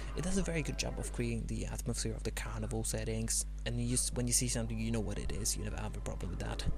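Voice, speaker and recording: With music in the background, a man with a very deep, low pitch talks very fast in a monotone, flat way with hardly any pauses. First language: non-English. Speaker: amateur game reviewer. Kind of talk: video game review narration.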